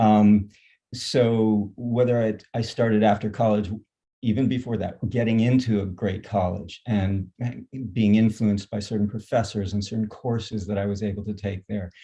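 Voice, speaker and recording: Somewhat breathy and dark, mellow in tone, a man talks at a moderate pace with monotone, flat intonation. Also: fairly low pitch for a man. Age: 60s. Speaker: nonprofit founder. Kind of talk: panel discussion. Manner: halting.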